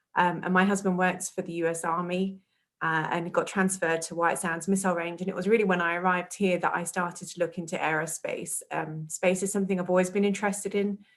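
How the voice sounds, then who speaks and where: In an English accent, a woman talks very fast in a flat monotone with hardly any pauses, on a very clean recording with a silent background. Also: medium pitch for a woman. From southern England, outside London. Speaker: public relations coordinator. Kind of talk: career interview talk. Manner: hesitant, many ums.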